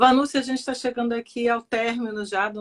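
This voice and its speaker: A woman's unremarkable speaking voice, fairly high in pitch, at a moderate pace, with a dry, close sound and no echo. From Rio de Janeiro, Brazil. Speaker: speech therapist and live show host. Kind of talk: live online interview. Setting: online live stream.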